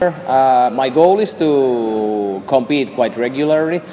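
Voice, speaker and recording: A man talks at a medium pitch with ordinary pitch variation. Background noise is noticeable. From northern Finland, Lapland. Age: 20s. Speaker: jiu-jitsu athlete. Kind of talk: interview. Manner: halting, many fillers.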